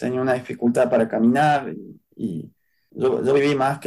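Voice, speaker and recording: A man talks at a moderate pace and a medium pitch. His tone is dark and mellow, with ordinary pitch variation. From Argentina, Córdoba. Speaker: human rights activist. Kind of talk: interview testimony.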